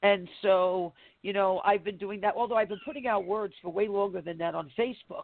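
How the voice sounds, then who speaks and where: A woman in a normal speaking voice talks at a fairly quick pace and medium pitch, with ordinary pitch variation. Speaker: prophet and show co-host. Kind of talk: casual chat.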